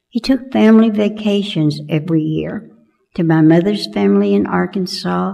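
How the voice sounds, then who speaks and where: A woman with an American accent, a dark, mellow tone and fairly low pitch, lively intonation at a moderate pace, with audible room echo. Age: 80s+. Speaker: church member. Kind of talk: personal testimony read aloud. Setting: church.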